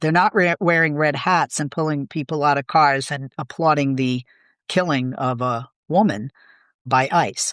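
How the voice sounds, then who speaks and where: The speaker has a Boston accent. The background is quiet. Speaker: political commentator. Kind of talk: interview conversation.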